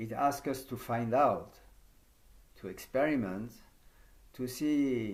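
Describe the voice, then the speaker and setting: A man with a French accent, medium pitch and ordinary pitch variation, in audible room echo. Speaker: yoga teacher trainer. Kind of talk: conference talk.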